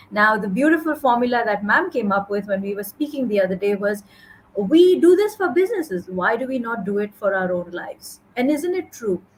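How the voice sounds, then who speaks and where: A woman's fairly high voice swings very widely in pitch over noticeable background noise. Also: fairly quick pace. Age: 40s. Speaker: podcast host. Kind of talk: interview conversation.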